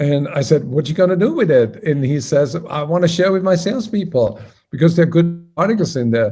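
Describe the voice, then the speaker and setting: Fairly high-pitched male speech in an Austrian accent, with a dark, mellow tone, lively intonation and a fairly quick pace. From Austria, Salzburg. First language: German. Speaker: sales trainer and magazine founder. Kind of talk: interview.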